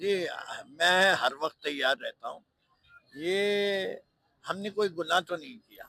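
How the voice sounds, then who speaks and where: In a raised, projected voice, a man speaks high in pitch with a bright, sharp tone, ordinary pitch variation, big swings in loudness, and long, frequent pauses. The sound is dry and close, with no echo. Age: 70s. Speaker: politician. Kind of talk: interview.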